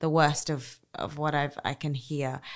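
Very deep, low female speech on a very clean recording, the background silent. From Australia. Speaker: war correspondent and author. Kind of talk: interview conversation.

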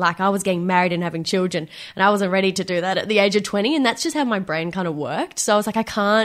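A woman talks very fast in an Australian accent. Her pitch is medium, with ordinary variation. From Victoria, Australia. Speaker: interviewee telling love story. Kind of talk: interview.

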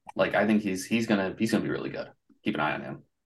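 A man with a fairly low pitch speaks with ordinary pitch variation. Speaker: baseball prospect writer. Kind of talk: casual chat.

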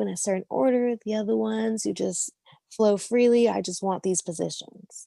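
Recorded dry and close with no echo, a woman speaks at a medium pitch and a moderate pace in a dark, mellow tone. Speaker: adult film performer. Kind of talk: casual interview chat. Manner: monotone.

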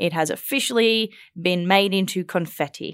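On a very clean recording with a silent background and a dry, close sound with no echo, a woman with a fairly low pitch speaks in an animated tone with ordinary pitch variation. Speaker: podcast host and political reporter. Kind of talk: casual panel discussion. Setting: studio. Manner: animated, laughs often.

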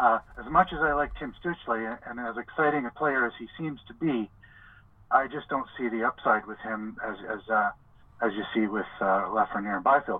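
Loudness swings a lot as a man with a medium pitch talks at a moderate pace with ordinary pitch variation. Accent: Canadian. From Montreal, Quebec. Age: 50s. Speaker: hockey journalist. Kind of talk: casual interview. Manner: halting, many fillers.

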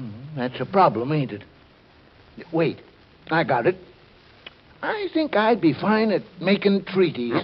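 The speaker uses a put-on character voice with big pitch swings and a slightly husky edge. Delivery is fairly slow, with long, frequent pauses. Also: man, fairly high pitch for a man.

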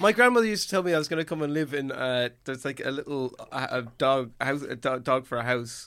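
A man speaks very fast with hardly any pauses, his pitch fairly high. His tone is bright and sharp, and his pitch varies in an ordinary way. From Ireland, Galway. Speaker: comedian and satirist. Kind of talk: casual chat. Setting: studio.

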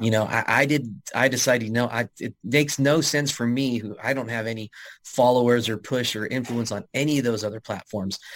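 A man with an unremarkable speaking voice talks fairly quickly in a medium pitch, with fairly even intonation and hardly any pauses. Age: 40s. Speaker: athletic director. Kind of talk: interview.

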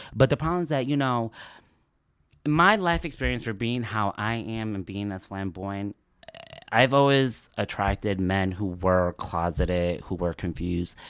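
A man speaks with an American accent in a fairly low pitch. He has an unremarkable speaking voice and keeps a moderate pace. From New Jersey (Elizabeth), Uruguayan parents. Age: 30s. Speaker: LGBTQ guest sharing life story. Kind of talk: casual interview chat.

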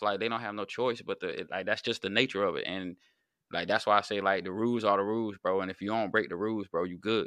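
A man speaks at a very fast pace against a quiet background. His pitch is fairly low and his tone bright and sharp. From North Carolina. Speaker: YouTube channel host, former inmate. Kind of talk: casual conversation.

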